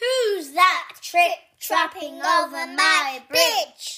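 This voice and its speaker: A growling, put-on character voice at an extremely high pitch moves at a very slow pace. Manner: growling, menacing.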